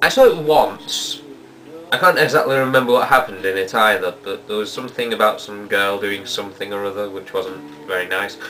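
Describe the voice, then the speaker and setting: Lively intonation from a man, with background music playing. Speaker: video blog host answering viewer questions. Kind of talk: reading and answering viewer mail.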